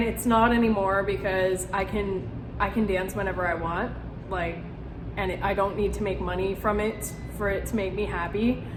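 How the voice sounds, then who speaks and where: Over noticeable background noise and audible room echo, a woman talks at a moderate pace in a medium pitch. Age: 20s. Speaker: youtuber sharing recovery story. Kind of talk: personal testimony vlog. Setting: one-take home video. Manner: hesitant, many fillers; casual.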